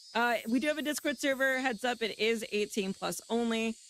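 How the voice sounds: A woman talks at a fairly quick pace with a fairly high pitch. Her tone is fairly bright, and her pitch varies in an ordinary way.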